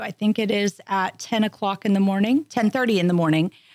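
In a normal speaking voice, a woman talks at a moderate pace with medium pitch and ordinary pitch variation on a very clean recording with a silent background. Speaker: tourism bureau manager. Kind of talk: casual interview. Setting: studio.

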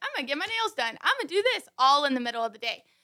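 A woman's high-pitched, bright, sharp voice, raised and projected, with lively intonation at a very fast pace. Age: 20s. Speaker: boutique owner. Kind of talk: casual chat.

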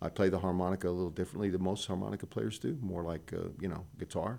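Very deep and low with a dark, mellow tone and vocal fry, a man's voice races at a very fast pace in a very clean recording with a silent background. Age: 60s. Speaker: blues musician. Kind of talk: casual chat.

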